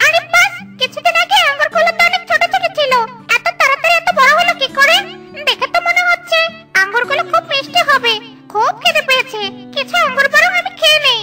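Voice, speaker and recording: A cartoonish character voice pitched extremely high plays over clear music in the background. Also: moderate pace. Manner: excitable.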